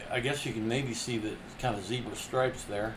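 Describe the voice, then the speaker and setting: Audible room echo surrounds a man speaking at a moderate pace and medium pitch in a monotone, flat intonation. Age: 60s. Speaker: artist livestreamer. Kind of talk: casual crafting demo.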